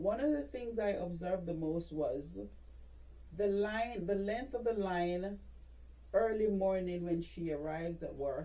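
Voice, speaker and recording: A woman with a Jamaican accent at medium pitch, fairly slow, with ordinary pitch variation and audible room echo. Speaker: dentist. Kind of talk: interview. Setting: podcast.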